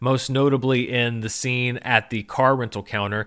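A man's ordinary speaking voice at medium pitch with ordinary pitch variation, in a very clean recording with a silent background. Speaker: film podcast host. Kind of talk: casual solo commentary. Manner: relaxed with frequent fillers.

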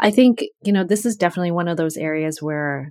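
A woman with an American accent has an ordinary speaking voice, fairly low in pitch, with ordinary pitch variation at a fairly quick pace. The recording is very clean with a silent background and a dry, close sound with no echo. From US Northeast, Connecticut. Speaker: journalist. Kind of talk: interview.

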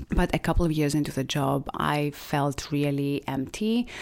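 On a very clean recording with a silent background, a woman speaks in a Greek accent. Her pitch is very deep and low, with fairly even intonation. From Greece, small island. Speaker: beauty brand founder. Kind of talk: interview.

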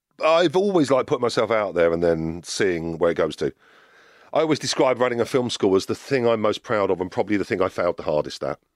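Delivered at a very fast pace with very wide pitch swings, the voice has a dry, close sound with no echo on a very clean recording with a silent background. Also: man, medium pitch for a man. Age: 50s. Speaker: media executive. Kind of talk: interview.

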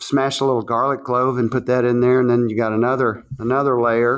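With a Southern US accent, a man talks in a monotone, flat intonation. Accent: Southern American. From US South. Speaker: chef and restaurant owner. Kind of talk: casual interview chat.

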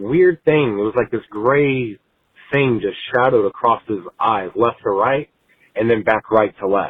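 At a moderate pace and with ordinary pitch variation, this is an ordinary speaking voice with an American accent. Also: man. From Texas, north of Houston. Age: 30s. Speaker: caller. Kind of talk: voicemail story.

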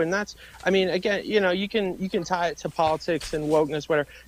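A man talks with a high pitch and fairly even intonation. Noticeable background noise is present. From Massachusetts. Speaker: conservative activist. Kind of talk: interview.

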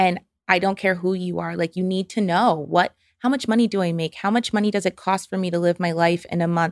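A woman with a New York accent at a fairly quick pace, on a very clean recording with a silent background. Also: medium pitch for a woman, fairly even intonation, dry, close sound with no echo. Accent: American, New York. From upstate New York (Albany). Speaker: financial therapist. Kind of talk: casual interview chat.

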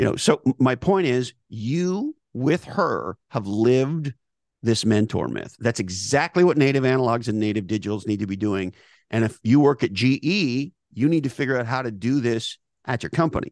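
A man's unremarkable speaking voice, medium in pitch, at a moderate pace with lively intonation, in a quiet, dry, close setting with no echo. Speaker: business author and thinker. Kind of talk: interview conversation.

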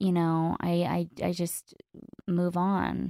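The sound is dry and close, with no echo. The recording is very clean, with a silent background. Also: woman. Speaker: recovery podcaster and social media personality. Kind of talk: casual interview conversation. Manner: candid, open.

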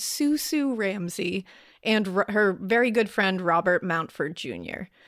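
With a New England accent, a woman speaks at a moderate pace with ordinary pitch variation on a very clean recording with a silent background. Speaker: true crime podcaster. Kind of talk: storytelling.

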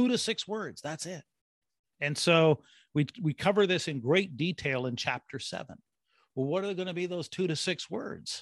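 An animated man's voice, high in pitch, with lively intonation at a moderate pace, dry and close with no echo against a quiet background. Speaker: brand strategist and author. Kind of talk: interview. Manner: halting with repetitions.

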